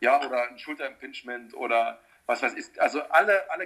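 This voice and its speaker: A man has an ordinary speaking voice, pitched fairly high, with ordinary pitch variation. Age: 40s. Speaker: personal trainer. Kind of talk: casual chat.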